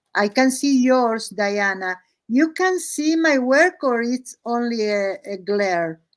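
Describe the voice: A woman speaks at a slow pace with a fairly high pitch. Her intonation is lively.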